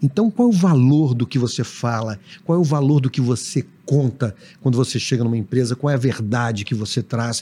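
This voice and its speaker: A man's somewhat breathy, dark, mellow voice at medium pitch, with very even loudness, ordinary pitch variation and a fairly quick pace. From Brazil, Belo Horizonte (Minas Gerais). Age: 40s. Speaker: TV drama director. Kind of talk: casual chat.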